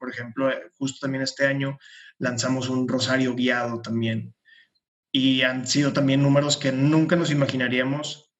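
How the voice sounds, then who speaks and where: In a flat, monotone delivery, a man speaks at a moderate rate. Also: medium pitch for a man. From Monterrey, Mexico. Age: 20s. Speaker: project founder. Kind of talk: panel discussion.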